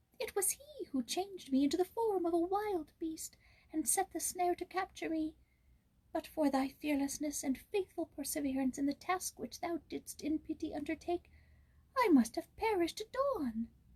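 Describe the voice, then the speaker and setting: Using a put-on character voice at an extremely high pitch, a woman speaks at a moderate pace. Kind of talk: archaic fairy-tale speech. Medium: read story.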